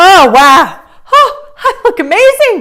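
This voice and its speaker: A put-on character voice, pitched extremely high, swings very widely in pitch at a fairly slow pace. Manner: gushing, enthusiastic delight.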